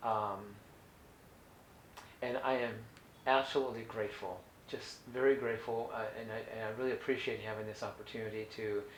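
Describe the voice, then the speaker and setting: A man at medium pitch, fairly quick but with long, frequent pauses, monotone and flat, with audible room echo. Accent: American. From US West Coast (Orange County, California). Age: 60s. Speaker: holistic health educator. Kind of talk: educational talk. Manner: halting, many fillers and restarts.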